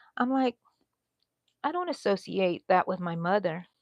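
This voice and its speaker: A woman with an American accent speaks with lively intonation. The sound is dry and close with no echo over a quiet background. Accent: slight Texas accent, comes out sometimes. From Texas. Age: 60s. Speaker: crochet YouTuber. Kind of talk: casual livestream chat while crocheting. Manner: chatty, rambling.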